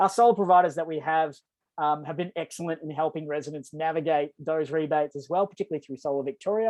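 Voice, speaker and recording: With an Australian accent, the voice races along at a very fast pace. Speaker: energy program coordinator for a not-for-profit. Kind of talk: webinar presentation.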